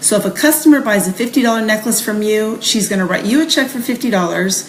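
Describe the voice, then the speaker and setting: A woman at a medium pitch with lively intonation and a fairly quick pace, against noticeable background noise. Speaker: direct sales trainer. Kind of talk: sales training talk. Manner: fast.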